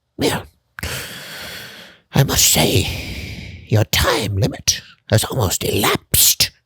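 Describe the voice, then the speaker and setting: A put-on character voice, low in pitch and very slow. Long pauses come often. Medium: read story. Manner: archaic, formal, theatrical.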